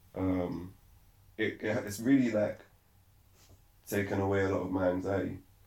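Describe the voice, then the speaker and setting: A man speaks at a fairly low pitch and moderate pace, somewhat breathy. His intonation is monotone and flat, with long, frequent pauses. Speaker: podcast host. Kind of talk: casual chat.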